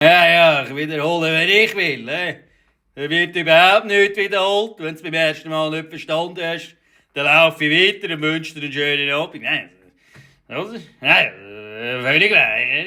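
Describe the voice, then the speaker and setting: Speaking at a moderate pace with long, frequent pauses, a man uses a high, bright, sharp voice with big swings in loudness and ordinary pitch variation. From Switzerland. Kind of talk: satirical reaction commentary. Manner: mocking, indignant.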